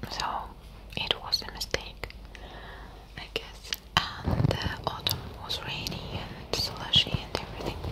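A woman whispering at a fairly slow pace, with long, frequent pauses. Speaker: ASMR creator. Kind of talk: casual soft-spoken chat. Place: home room. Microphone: studio mic.

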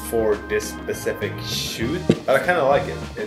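The speech moves at a fairly slow pace with clear music in the background. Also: man. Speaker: photography vlogger. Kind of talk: casual vlog chat. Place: studio.

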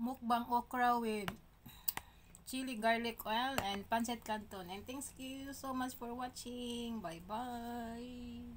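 A woman with a high voice talks very slowly, noticeable background noise around her. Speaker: food vlogger. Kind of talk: casual mukbang vlog chat. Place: kitchen. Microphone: phone near.

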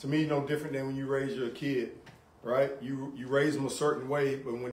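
Through light background noise and audible room echo, a man speaks at a moderate pace and fairly high pitch with monotone, flat intonation. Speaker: police officer in community talk. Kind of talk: community panel discussion. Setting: barbershop with audience. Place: shop.

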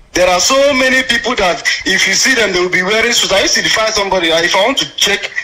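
Noticeable background noise sits behind a raised, projected voice delivered at a very fast pace. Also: man. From Nigeria, Anambra State. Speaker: caller. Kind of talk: phone-in comment.

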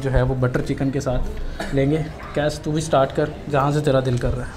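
Against noticeable background noise, a man talks at a moderate pace in a monotone, flat delivery. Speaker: food vlogger host. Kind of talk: casual vlog chat. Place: cafe.

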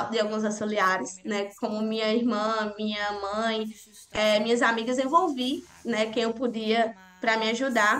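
In a normal speaking voice, a woman with a fairly high pitch talks at a fairly slow pace with fairly even intonation. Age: 20s. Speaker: journalist. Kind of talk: interview testimony.

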